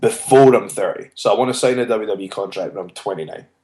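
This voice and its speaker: With lively intonation, a man talks in a Scottish accent. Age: 20s. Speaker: professional wrestler. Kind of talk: interview.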